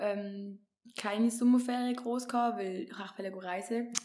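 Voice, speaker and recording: A woman speaks with fairly even intonation. Light background noise can be heard. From Switzerland. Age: 20s. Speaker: intern and incoming psychology student; podcast guest. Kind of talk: casual chat. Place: home room. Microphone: studio mic.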